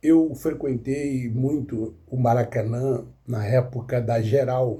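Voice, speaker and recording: Here a man with a medium pitch speaks at a very slow pace. His tone is dark, mellow and somewhat breathy, with fairly even intonation. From Rio de Janeiro state, Duque de Caxias (born in Minas Gerais). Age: 70s. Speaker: football commentator, YouTuber. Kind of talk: casual monologue, football analysis. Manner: halting, with fillers.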